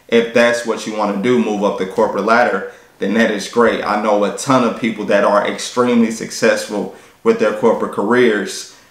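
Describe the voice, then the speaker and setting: Talking at a fairly quick pace, the man's voice carries audible room echo. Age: 30s. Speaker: fitness YouTuber and personal trainer; fitness vlogger. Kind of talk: vlog monologue. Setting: at a work desk. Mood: reflective, earnest. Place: home room.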